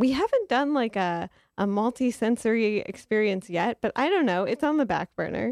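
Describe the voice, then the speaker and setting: A plain, everyday voice with lively intonation and very even loudness speaks at a moderate pace, the sound dry and close with no echo over a quiet background. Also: woman, fairly high pitch for a woman. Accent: American. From Detroit, Michigan. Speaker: arts newspaper editor. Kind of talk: radio interview.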